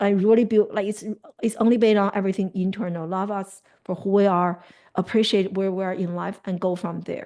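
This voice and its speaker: A woman with a Chinese accent talks at a fairly quick pace in a medium pitch. Her tone is dark and mellow, over a quiet background. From China. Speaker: life coach. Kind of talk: interview. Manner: animated.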